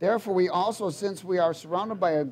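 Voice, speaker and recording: With ordinary pitch variation, a man talks in a high voice. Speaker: preacher. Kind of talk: sermon. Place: church. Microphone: headset.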